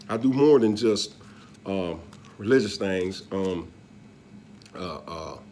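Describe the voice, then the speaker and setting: Heard with audible room echo, a man talks very slowly in a dark, mellow tone, leaving long, frequent pauses. His loudness swings a lot, while his pitch varies in an ordinary way. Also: fairly low pitch for a man. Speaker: religious video blogger. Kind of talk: casual monologue. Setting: living room.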